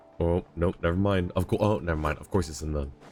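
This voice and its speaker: With music in the background, a man with a very deep, low voice speaks at a moderate pace and with fairly even intonation. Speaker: streamer. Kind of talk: casual live-stream commentary while gaming.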